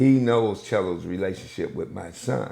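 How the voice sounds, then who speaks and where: A man with an American accent, fairly low pitch, a dark, mellow tone, vocal fry, lively intonation and a fairly slow pace. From US Northeast, Buffalo, New York. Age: 60s. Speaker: pastor and community liaison. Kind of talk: interview.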